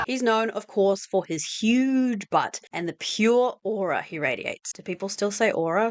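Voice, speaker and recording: A woman talks in a New Zealand accent at a moderate pace with hardly any pauses, her fairly high pitch showing ordinary variation. Her loudness swings widely in a dry, close sound with no echo. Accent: Kiwi. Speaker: video essayist. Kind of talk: scripted narration. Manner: trying to sound lively, slightly awkward.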